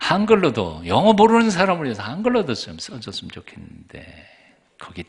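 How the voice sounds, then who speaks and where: A man talks at a moderate pace. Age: 60s. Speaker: pastor. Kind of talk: sermon. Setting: church.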